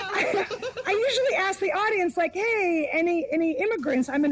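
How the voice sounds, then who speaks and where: At a moderate pace, a woman is talking. Her pitch swings very widely. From former Soviet Union. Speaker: stand-up comedian. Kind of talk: stand-up.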